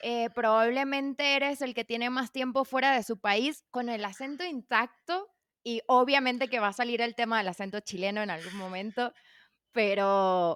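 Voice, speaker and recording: A woman with an ordinary speaking voice talks at a moderate pace in a fairly high pitch, with ordinary pitch variation. The sound is dry and close, with no echo. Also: very clean recording, silent background. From Venezuela. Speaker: podcast host, journalist. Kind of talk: casual interview; scripted podcast intro.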